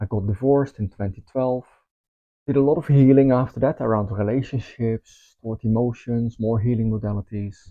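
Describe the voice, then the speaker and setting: With a Dutch accent, a man speaks at a medium pitch. His pace is moderate and his pitch variation ordinary. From Netherlands. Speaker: spiritual teacher. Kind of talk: course promotion talk. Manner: casual, with filler ums.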